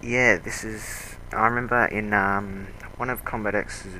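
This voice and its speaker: A man with an Australian accent speaks at a fairly slow pace in a fairly low, flat, monotone voice, with audible room echo and noticeable background noise. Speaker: video game commentator. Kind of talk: game commentary.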